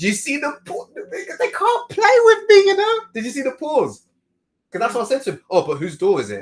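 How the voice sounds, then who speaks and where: The voice is loud and animated in tone. It moves at a moderate pace. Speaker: podcast host. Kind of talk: casual chat.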